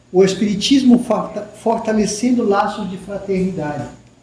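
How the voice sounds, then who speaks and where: A man talks at a fairly slow pace in a high pitch, with ordinary pitch variation. The room echo is audible. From Peru. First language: Spanish (speaking Portuguese). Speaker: spiritist lecturer, professor. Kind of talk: spiritist lecture.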